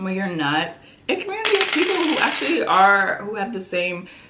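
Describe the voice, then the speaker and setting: A woman's animated voice amid noticeable background noise and audible room echo. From Prince George's County, Maryland, US. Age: 20s. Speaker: beauty and lifestyle vlogger. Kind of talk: casual chat while doing makeup.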